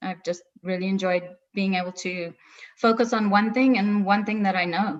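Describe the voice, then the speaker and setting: Here a woman talks with a South African accent at a moderate pace. Her pitch is medium and her intonation fairly even. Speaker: travel agency owner. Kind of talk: webinar interview.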